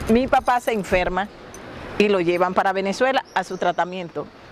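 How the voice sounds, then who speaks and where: In a La Guajira accent, a woman talks with ordinary pitch variation amid noticeable background noise. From La Guajira, Colombia (Wayuu). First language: Wayuunaiki (speaking Spanish). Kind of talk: interview storytelling.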